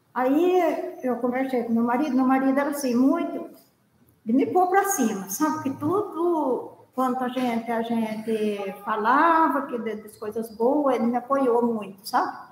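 Lively intonation comes through at a fairly slow pace, with audible room echo. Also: woman, high pitch for a woman. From São Luiz do Paraitinga, São Paulo interior. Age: 70s. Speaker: viola folk musician. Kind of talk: life story interview.

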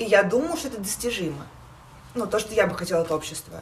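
Noticeable background noise sits behind a woman talking at a very fast pace. Her pitch is fairly high and her intonation lively. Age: 20s. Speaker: podcast co-host. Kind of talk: casual chat.

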